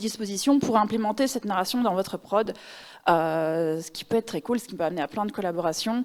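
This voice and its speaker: A fairly high-pitched woman with a Belgian accent, fairly quick pace and ordinary pitch variation, in a very clean recording with a silent background. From Belgium. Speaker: narrative designer. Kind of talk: conference talk. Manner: casual, many filler words.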